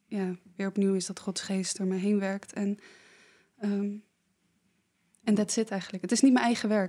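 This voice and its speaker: A woman's dark, mellow voice at medium pitch, monotone and flat, moderate in pace, with long, frequent pauses. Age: 20s. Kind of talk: casual conversation.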